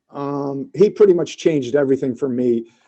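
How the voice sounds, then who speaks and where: An ordinary speaking voice: a man with an American accent, fairly high in pitch with ordinary pitch variation, at a moderate pace. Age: 50s. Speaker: podcast guest, music fan. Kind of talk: casual chat.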